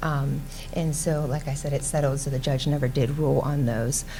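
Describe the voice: A soft-spoken woman with an extremely low pitch, a moderate pace and fairly even intonation.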